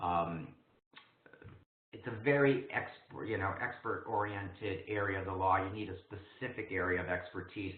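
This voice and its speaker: Audible room echo is present in the recording. The man's pitch varies in an ordinary way. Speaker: program director and instructor. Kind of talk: webinar presentation. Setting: online webinar. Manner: fast.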